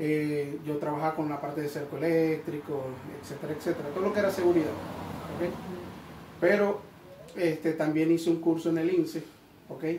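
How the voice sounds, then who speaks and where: Over noticeable background noise and audible room echo, a man with a fairly high pitch speaks at a moderate pace in a monotone, flat intonation, leaving long, frequent pauses. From Venezuela, Maracaibo (Zulia). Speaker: electrician and electricity course teacher. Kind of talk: interview. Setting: training venue.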